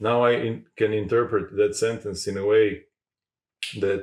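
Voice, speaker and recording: This man speaks at a fairly slow pace with a Croatian accent. His medium pitch shows ordinary variation. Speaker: podcast host. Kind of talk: interview conversation. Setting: in-person recording in Zagreb. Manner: halting.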